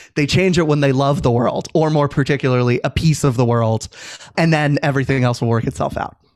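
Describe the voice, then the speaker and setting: With an American accent, a man in a plain, everyday voice talks at a fairly quick pace, his fairly high pitch held at very even loudness. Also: fairly even intonation. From Virginia, US. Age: 30s. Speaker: civic advocate and author. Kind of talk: interview conversation.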